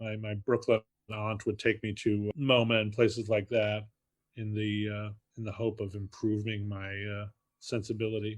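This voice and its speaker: At a moderate pace, a man in a New York accent speaks with a fairly low pitch and monotone, flat intonation. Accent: New York area American. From New Jersey (Fort Lee). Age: 60s. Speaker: film critic and author. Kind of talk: interview. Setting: podcast interview.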